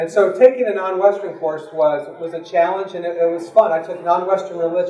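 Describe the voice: With an American accent, a man speaks at a fairly quick pace in a high pitch. His tone is dark and mellow, and there is audible room echo. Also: ordinary pitch variation.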